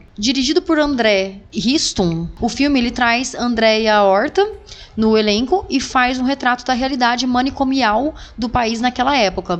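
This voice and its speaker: Her high-pitched voice moves with lively intonation at a fairly slow pace, and the woman keeps her loudness very even throughout. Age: 30s. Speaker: podcast host. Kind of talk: casual chat.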